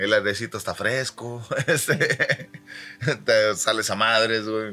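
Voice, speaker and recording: A man with a Mexican accent, bright and sharp in tone, medium in pitch, at a very slow pace. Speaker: podcast co-host. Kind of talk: casual chat over beers. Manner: animated, laughing.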